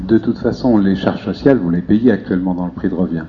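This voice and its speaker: A man speaks at a fairly quick pace in a very deep, low voice with ordinary pitch variation, and noticeable background noise can be heard. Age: 50s. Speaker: debate participant. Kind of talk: public group discussion.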